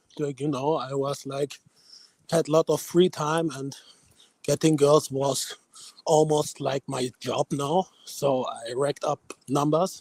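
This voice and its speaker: A man with a German accent speaks at a fairly high pitch and fairly slow pace in a monotone with flat intonation. The sound is dry and close, with no echo. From Germany. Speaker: caller. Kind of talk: casual chat. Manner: halting.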